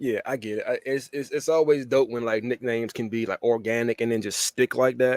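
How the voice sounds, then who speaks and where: A man with an American accent and a normal speaking voice talks at medium pitch with fairly even intonation, at a fairly quick pace with hardly any pauses. The sound is dry and close with no echo. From Washington DC area, US. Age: 30s. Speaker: podcast host. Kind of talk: casual interview chat.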